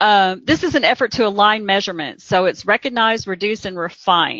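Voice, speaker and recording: A woman's medium-pitched voice with an American accent, ordinary pitch variation and a fairly quick pace. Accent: Southern US (self-remarked, joking). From Kentucky. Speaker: healthcare quality consultant. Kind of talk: webinar presentation. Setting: webcast.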